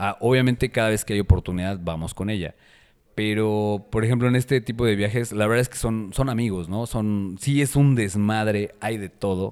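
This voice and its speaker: A man with a central Mexican accent speaks at a moderate pace and fairly low pitch with fairly even intonation, in a very clean recording with a silent background. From Mexico City. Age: 40s. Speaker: personal trainer. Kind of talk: casual chat.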